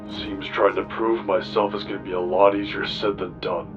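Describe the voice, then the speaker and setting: Over loud background music, a man does a put-on character voice at a fairly low pitch and a moderate pace. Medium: audio drama. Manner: hesitant.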